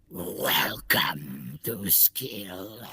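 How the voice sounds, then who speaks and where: In a put-on character voice, a man speaks at a very deep, low pitch. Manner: growly.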